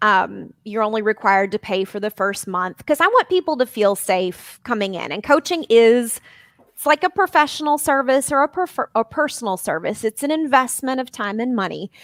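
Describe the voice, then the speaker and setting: A woman with a slight Southern US accent talks in a fairly high pitch with very wide pitch swings, big swings in loudness and hardly any pauses, in a dry, close sound with no echo. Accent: slight Southern drawl. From Arkansas. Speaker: life and weight coach. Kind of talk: podcast interview.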